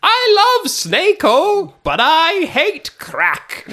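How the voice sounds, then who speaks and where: This put-on character voice has an extremely high pitch and a very slow pace. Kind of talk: comic party-game roleplay. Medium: actual play.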